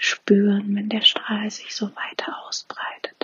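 A woman speaks at a very slow pace. Her tone is soothing and gentle. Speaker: meditation guide. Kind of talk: guided meditation. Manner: slow, soothing, gentle; calm, warm, with pauses.

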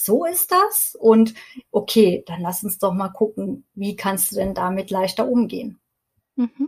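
Fairly high in pitch and somewhat breathy, a woman speaks with ordinary pitch variation. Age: 40s. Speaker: stress and burnout coach. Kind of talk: podcast interview.

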